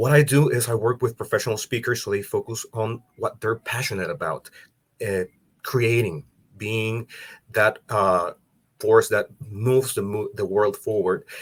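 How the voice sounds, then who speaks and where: A speaker with a Salvadoran accent talks at a moderate pace. The recording is very clean, with a silent background. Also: man. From El Salvador. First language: Spanish. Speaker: business support for speakers. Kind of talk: interview podcast.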